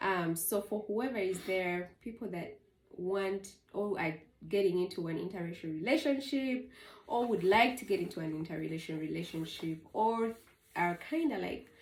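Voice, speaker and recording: With a Ugandan accent, a woman speaks at a moderate pace in a medium pitch, her intonation lively. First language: Luganda. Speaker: vlogger. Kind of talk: casual chat.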